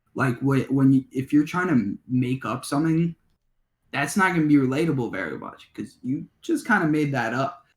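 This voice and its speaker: Somewhat breathy speech of moderate pace, pitch moving in an ordinary way. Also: man, fairly high pitch for a man. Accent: Chicago. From Illinois, Skokie near Chicago. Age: 20s. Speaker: rapper. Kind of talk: interview. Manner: halting.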